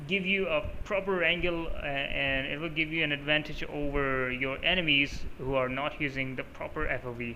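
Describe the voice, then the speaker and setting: Speaking with a Pakistani accent, a man keeps a moderate pace. Audible room echo is present. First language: Urdu. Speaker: gaming YouTuber. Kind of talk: tutorial. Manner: casual, with many fillers.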